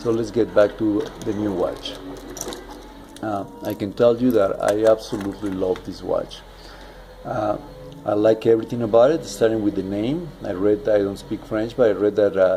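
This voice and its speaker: Someone with a non-native accent speaks at a moderate pace with ordinary pitch variation over noticeable background noise. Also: man, fairly low pitch for a man. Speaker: watch reviewer. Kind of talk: product review. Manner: halting, many fillers.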